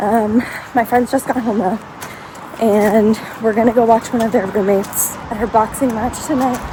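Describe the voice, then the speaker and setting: A woman with an American accent speaks at a fairly slow pace with fairly even intonation. Noticeable background noise is present. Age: 20s. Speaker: travel vlogger. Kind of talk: vlog commentary. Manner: casual.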